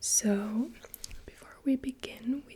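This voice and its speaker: A woman speaks in a gentle tone at a very slow pace. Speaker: ASMR creator doing a personal color analysis roleplay. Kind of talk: ASMR roleplay, personal color analysis session. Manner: soft-spoken, whispered, gentle.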